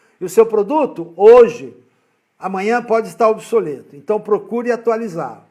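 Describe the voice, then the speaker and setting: The intonation is lively. The pace is moderate. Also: man. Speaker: business mentor. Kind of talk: live-stream lecture. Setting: online live stream.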